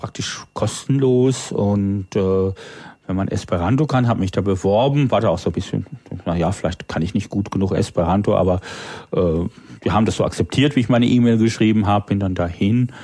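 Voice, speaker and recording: A man talks fairly quickly in a plain, everyday voice. His pitch variation is ordinary. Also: fairly low pitch for a man. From northern Germany (Low German area). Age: 40s. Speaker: freelance programmer and language enthusiast. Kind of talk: casual chat.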